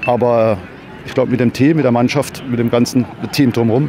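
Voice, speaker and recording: Light background noise and a dry sound with no echo frame a man talking at a very fast pace. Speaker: football club coach. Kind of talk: interview answer. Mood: proud, relieved after win. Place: stadium. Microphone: handheld.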